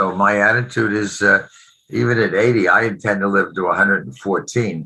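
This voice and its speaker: With vocal fry and a fairly low pitch, a man talks at a fairly quick pace using ordinary pitch variation. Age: 80s+. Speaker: investor, author. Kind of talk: interview. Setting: podcast. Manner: halting, many fillers.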